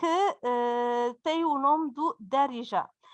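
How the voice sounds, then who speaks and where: A woman speaks with a Berber accent, her pitch high. The sound is dry and close with no echo, over a quiet background. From Morocco. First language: Berber (speaking Portuguese). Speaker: university lecturer. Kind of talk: conference talk. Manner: halting, many fillers.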